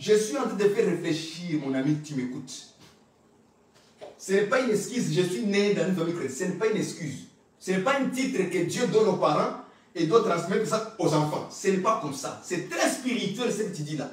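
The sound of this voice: A man speaks with a high pitch and lively intonation. Strong room echo surrounds his voice. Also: moderate pace.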